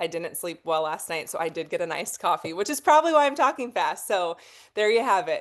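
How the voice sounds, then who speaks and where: In an animated tone, a woman of medium pitch talks at a very fast pace with very wide pitch swings against a quiet background. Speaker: marketing director in a direct sales team. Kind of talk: team call pep talk.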